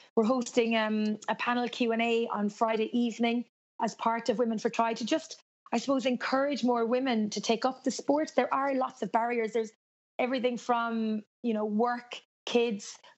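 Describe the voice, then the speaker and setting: Speaking in a Cork accent, a woman with a fairly high voice keeps a moderate pace and a monotone, flat intonation. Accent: Cork Irish. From Ireland, Cork. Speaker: race announcer. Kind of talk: interview.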